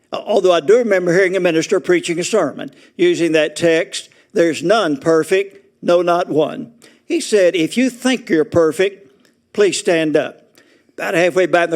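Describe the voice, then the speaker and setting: Pitched high, a man talks at a moderate pace. His pitch shows ordinary variation. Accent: Southern US. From Arkansas. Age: 80s+. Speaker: retirement community resident speaker. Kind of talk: humorous talk to an audience. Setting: auditorium with audience.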